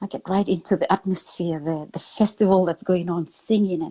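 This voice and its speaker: A woman's dark, mellow voice in a dry, close sound with no echo. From Papua New Guinea. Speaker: motivational speaker. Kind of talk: interview testimony.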